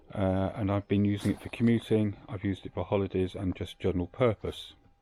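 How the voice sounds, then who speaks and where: Dry and close with no echo, a man with a British accent talks at a very fast pace, his dark, mellow voice fairly low in pitch and monotone and flat in intonation. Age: 60s. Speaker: motorcycle owner reviewer. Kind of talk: product review monologue. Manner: hesitant, many fillers.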